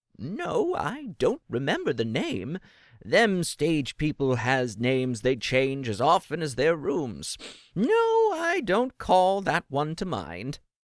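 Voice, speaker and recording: A man uses a guttural, put-on character voice at a fairly high pitch, speaking at a fairly slow pace in a very clean recording with a silent background and a dry, close sound with no echo. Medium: read story. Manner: ingratiating, rambling.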